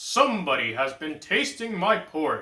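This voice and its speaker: A man in a put-on character voice, high-pitched, raised and projected, at a moderate pace. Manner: gruff, indignant.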